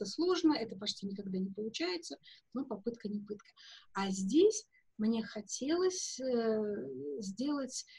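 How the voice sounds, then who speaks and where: A woman speaks in a fairly high, somewhat breathy voice with a dark, mellow tone. Her pace is fairly slow and her intonation lively. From Russia (Soviet Union). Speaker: perfumer and perfume historian; guest. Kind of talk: interview. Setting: video call from home. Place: home room. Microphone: video call.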